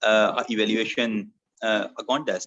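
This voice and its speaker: A man talks very slowly at medium pitch with fairly even intonation, in a dry, close recording with no echo. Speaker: toastmasters club member. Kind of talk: impromptu speech. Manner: halting.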